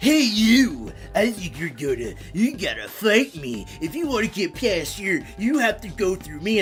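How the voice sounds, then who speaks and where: A put-on character voice sits fairly high in pitch and moves at a moderate pace. Clear music plays in the background. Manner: tough, challenging.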